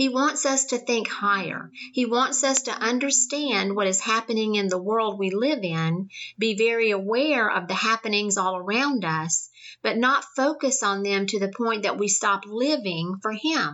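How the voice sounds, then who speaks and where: This is an ordinary speaking voice at a moderate pace with ordinary pitch variation. Its loudness stays very even throughout. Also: woman, fairly high pitch for a woman. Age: 50s. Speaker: podcast host and Bible teacher. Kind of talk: devotional Bible teaching.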